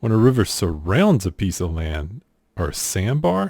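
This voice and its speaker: Here a man speaks with an American accent at a very deep, low pitch. His voice is somewhat breathy and his pace fairly slow. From US South. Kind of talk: casual talk to camera.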